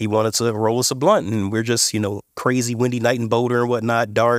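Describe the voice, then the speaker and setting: A man with an unremarkable speaking voice and medium pitch talks at a fairly quick pace on a very clean recording with a silent background. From Indiana, US Midwest. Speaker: cannabis company CEO. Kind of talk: interview.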